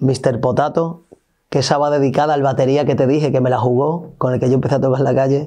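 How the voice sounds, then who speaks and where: A man speaks at a fairly quick pace in a fairly high pitch. His tone is dark and mellow, over a quiet background. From Spain, Extremadura (Olivenza); Extremadura, Spain. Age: 30s. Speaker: musician. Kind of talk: interview. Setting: studio. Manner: animated. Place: studio.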